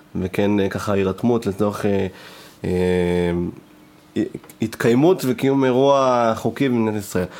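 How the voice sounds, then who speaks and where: The man's voice has a dark, mellow tone. It sits at a fairly low pitch, and its pitch variation is ordinary. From northern Israel. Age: 20s. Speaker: party producer and podcast host. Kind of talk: casual chat. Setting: studio.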